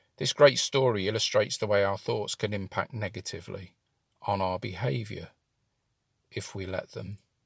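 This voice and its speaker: With a British accent and vocal fry, a man of fairly low pitch speaks at a moderate pace with ordinary pitch variation and long, frequent pauses against a quiet background. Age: 50s. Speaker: employment support coach. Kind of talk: scripted narration.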